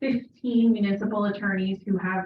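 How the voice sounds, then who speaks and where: Against music in the background, a woman speaks at a moderate pace in a medium-pitched, monotone, flat voice. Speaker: municipal attorney and executive director of a cities association. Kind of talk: informational presentation. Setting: city council meeting room. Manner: loud.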